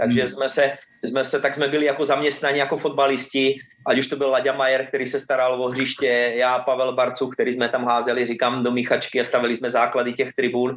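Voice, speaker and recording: Monotone, flat intonation at very even loudness. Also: man, medium pitch for a man, fairly quick pace. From Slovakia, near Martin. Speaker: football coach, former professional footballer. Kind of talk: interview. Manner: halting, repeats words.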